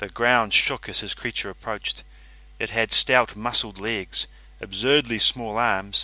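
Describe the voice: Fairly even intonation in plain reading aloud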